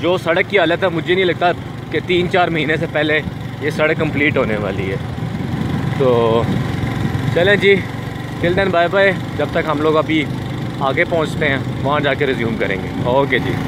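A man speaks with ordinary pitch variation. The sound is dry with no echo, over loud background noise. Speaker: motorcycle travel vlogger. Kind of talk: casual vlog chat. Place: motorbike. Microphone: phone near.

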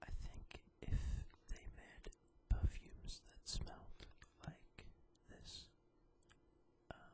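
With long, frequent pauses, the whispered words come at a very slow pace. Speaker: ASMR reviewer. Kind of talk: ASMR food review. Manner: whispered, relaxing.

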